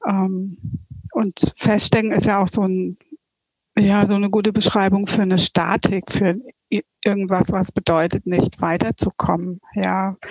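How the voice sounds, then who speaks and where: A woman speaks at a very slow pace with a medium pitch. Her intonation stays fairly even. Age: 50s. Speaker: coaching client. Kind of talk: interview testimony.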